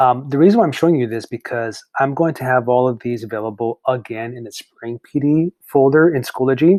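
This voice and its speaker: A man talks at a fairly quick pace, medium in pitch, with fairly even intonation. The recording is very clean, with a silent background and a dry, close sound with no echo. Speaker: teacher. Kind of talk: tutorial. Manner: hesitant with fillers.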